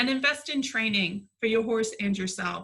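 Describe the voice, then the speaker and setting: A woman speaks in an ordinary speaking voice. Her pace is moderate and her intonation fairly even. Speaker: horse placement specialist. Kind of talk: webinar presentation.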